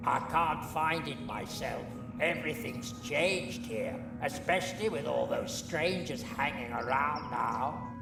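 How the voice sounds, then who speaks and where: Over loud background music, a man puts on a cartoonish character voice and speaks at a fairly slow pace. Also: fairly high pitch for a man. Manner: chatty, wry, with squawks.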